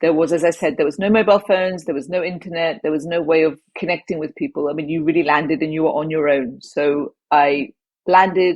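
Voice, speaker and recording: A woman speaks in a southern English accent at a fairly low pitch. She moves at a fairly quick pace with ordinary pitch variation. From southwest England. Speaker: former advertising executive and traveller. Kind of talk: interview storytelling.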